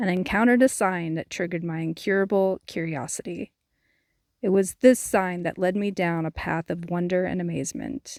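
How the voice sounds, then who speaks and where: A woman's medium-pitched voice with an American accent, ordinary pitch variation and a moderate pace, in a very clean recording with a silent background and a dry, close sound with no echo. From California. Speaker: hiking vlogger. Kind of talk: scripted narration.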